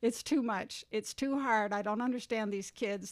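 In a plain, everyday voice, a woman with an American accent speaks at a moderate pace, her pitch fairly high with ordinary variation, on a very clean recording with a silent background. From US Midwest. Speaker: community ministry worker. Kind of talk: casual interview conversation.

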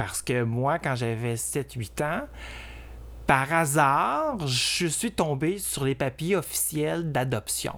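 A man speaks very slowly with a Quebec accent. His pitch is fairly high. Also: ordinary pitch variation. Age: 50s. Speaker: drag performer. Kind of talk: interview testimony. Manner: hesitant, with many fillers.

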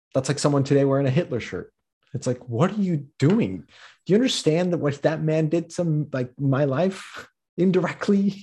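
At a moderate pace, a man with a fairly high pitch speaks somewhat breathy, his dark, mellow tone marked by lively intonation. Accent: General American. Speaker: author and podcaster. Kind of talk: casual interview chat. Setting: Zoom video call.

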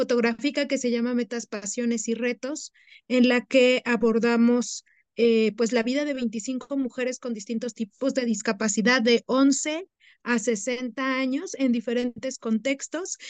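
A high-pitched woman's voice, fairly slow and fairly even in intonation, with a dry, close sound, no echo, and a quiet background. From Mexico City, family from the Huasteca of Hidalgo. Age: 30s. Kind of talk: interview.

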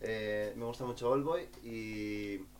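Audible room echo surrounds a man whose fairly low pitch follows fairly even intonation. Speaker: podcast guest. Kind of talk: casual chat.

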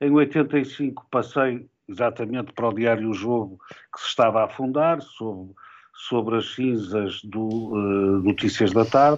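A man speaks at a fairly slow pace with a medium pitch and ordinary pitch variation. It is a normal speaking voice. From Portugal, Porto. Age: 60s. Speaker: sports journalist and commentator. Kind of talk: interview.

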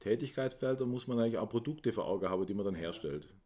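A man's dark, mellow, medium-pitched voice with lively intonation comes through in a very clean recording with a silent background. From Swabia, Germany. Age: 50s. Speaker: managing director of an inclusion social enterprise. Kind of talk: interview.

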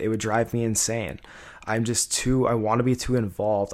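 In a very clean recording with a silent background, a man has an ordinary speaking voice, a fairly low pitch, fairly even intonation and a fairly quick pace. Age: 20s. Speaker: podcast co-host, business owner. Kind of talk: casual chat.

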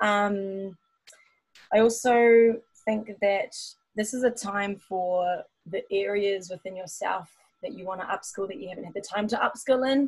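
Speaking with a New Zealand accent, a woman uses a medium pitch with ordinary variation, a somewhat breathy sound, a fairly slow pace, long and frequent pauses, and big swings in loudness. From New Zealand (Taupo). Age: 30s. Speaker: dancer and singer. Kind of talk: casual chat.

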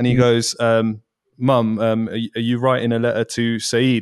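The background is quiet. A man talks with a dry, close sound that has no echo. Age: 20s. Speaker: podcast host. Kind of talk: casual chat. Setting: video call. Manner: loud.

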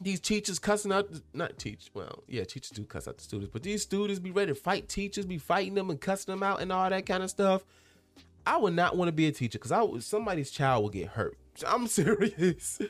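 Over music in the background, a man with a high pitch and ordinary pitch variation speaks at a very fast pace in an animated tone. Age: 20s. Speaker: solo podcast host. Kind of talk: casual chat. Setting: home recording.

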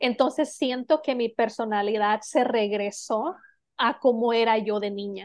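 Using a normal speaking voice, a woman talks at a fairly slow pace with a fairly high pitch and ordinary pitch variation. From Mexico. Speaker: podcast co-host. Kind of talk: casual chat.

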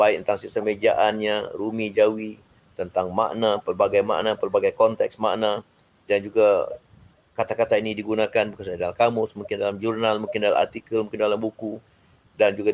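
Moderately paced speech from a man, in a dry, close sound with no echo. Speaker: professor and language board chairman. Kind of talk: interview, formal discussion. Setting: online live stream. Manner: formal.

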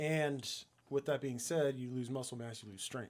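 An ordinary speaking voice, the man's runs at a fairly quick pace with a medium pitch and fairly even intonation. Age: 30s. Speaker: podcast panelist. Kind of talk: casual chat.

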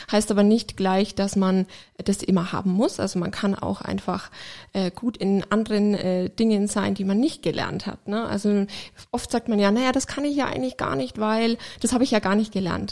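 Recorded very cleanly against a silent background, a woman with an unremarkable speaking voice talks at a moderate pace. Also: medium pitch for a woman, ordinary pitch variation. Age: 30s. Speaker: hearing aid acoustician. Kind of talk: casual chat.

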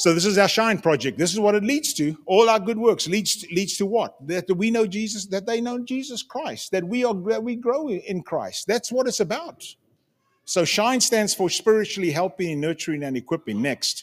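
A man with a high-pitched voice speaks with lively intonation at a moderate pace. The recording is very clean, its background silent. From Zimbabwe. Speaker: missionary. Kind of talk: church mission report with slides. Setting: church congregation. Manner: halting, many repetitions and fillers.

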